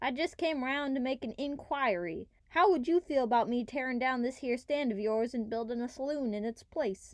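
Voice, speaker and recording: A woman uses a drawling, put-on character voice with a high pitch. She keeps a moderate pace with hardly any pauses. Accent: Western US. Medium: machinima. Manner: drawling, folksy.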